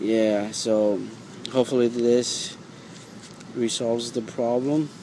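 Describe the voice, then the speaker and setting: A man with a non-native accent speaks at a very slow pace in a monotone, flat way, with noticeable background noise. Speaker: DIY car repair video maker. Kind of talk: tutorial. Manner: halting, repeats words; casual.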